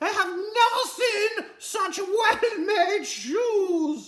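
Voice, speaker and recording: Speech comes at a very slow pace in a put-on character voice with extremely high pitch. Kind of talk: posh, refined.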